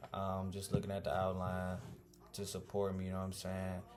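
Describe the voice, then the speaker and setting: With a very deep, low pitch, a man speaks at a fairly quick pace amid noticeable background noise and audible room echo. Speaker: student presenter. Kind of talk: casual video presentation. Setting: home recording with music playing. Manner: fast; animated.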